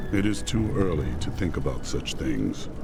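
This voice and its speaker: Over loud background noise, a man uses a put-on character voice at a very deep, low pitch. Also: moderate pace. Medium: video game. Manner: terse, grave.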